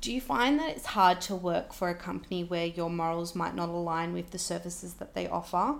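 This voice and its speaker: A woman's fairly low, fairly quick Australian-accented speech with ordinary pitch variation and hardly any pauses. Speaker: podcast host and makeup business owner. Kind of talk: casual chat.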